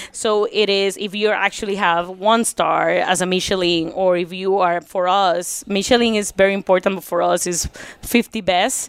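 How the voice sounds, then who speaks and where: A woman talks at a medium pitch with hardly any pauses. Her intonation stays monotone and flat. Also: moderate pace. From Puerto Rico. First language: Spanish. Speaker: bar and restaurant co-owner. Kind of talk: casual interview chat.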